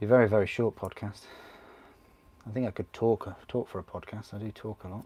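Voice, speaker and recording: At a very fast pace broken by long, frequent pauses, a man speaks in a fairly low, somewhat breathy voice with a dark, mellow tone and monotone, flat intonation, his loudness swinging widely, in a dry, close sound with no echo. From northern England, Grimsby. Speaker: miniature painting streamer. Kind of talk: casual live-stream chat while building models. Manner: chatty, relaxed.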